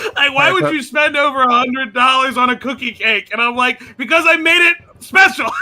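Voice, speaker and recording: A man with a Baltimore accent speaks in a raised, projected voice at an extremely high pitch, animated in tone and fairly quick in pace. His pitch varies in an ordinary way, and noticeable background noise is present. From Baltimore, US. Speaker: let's play gamer. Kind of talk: casual chat.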